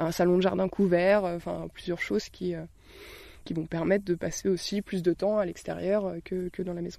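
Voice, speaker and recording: This woman has a fairly low voice and talks at a moderate pace. Her delivery stays monotone and flat. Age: 20s. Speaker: designer living in a tiny house. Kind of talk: interview. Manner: halting, many fillers and repetitions.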